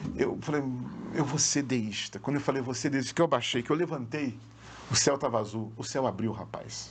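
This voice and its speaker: There is noticeable background noise as a man talks in an animated tone. His pitch is medium, with ordinary variation. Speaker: pastor. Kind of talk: testimony. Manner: fast.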